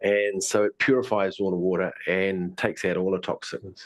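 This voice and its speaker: A New Zealand accent over a quiet background. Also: man. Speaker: tai chi and qigong teacher. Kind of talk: online presentation. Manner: fast; mumbling.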